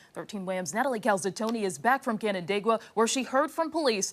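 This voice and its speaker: Over noticeable background noise, a woman talks very fast with a fairly high pitch and lively intonation. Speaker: TV news anchor. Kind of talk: TV news anchoring. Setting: studio.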